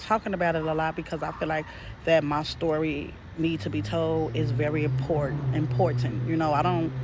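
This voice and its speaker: Moderate pace over noticeable background noise. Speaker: spiritual message reader. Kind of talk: casual spiritual message to viewers. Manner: unrehearsed, stuttering at times.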